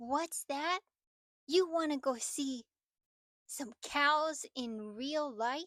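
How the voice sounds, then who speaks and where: Speaking at a very slow pace with long, frequent pauses, a woman uses a cartoonish character voice pitched high for a woman. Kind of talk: children's puppet show. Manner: upbeat, excited.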